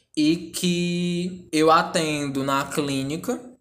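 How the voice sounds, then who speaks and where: The voice shows ordinary pitch variation. Audible room echo surrounds it. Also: man. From Ceará interior, northeast Brazil. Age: 20s. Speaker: psychologist. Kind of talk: interview, explanatory.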